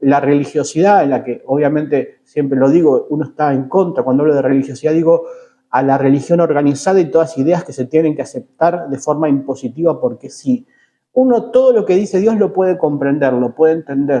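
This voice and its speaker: A man with a fairly high pitch talks at a fairly quick pace. His tone is dark and mellow, with lively intonation. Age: 40s. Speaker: religious podcast host. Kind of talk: bible teaching podcast monologue. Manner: hesitant, many filler sounds.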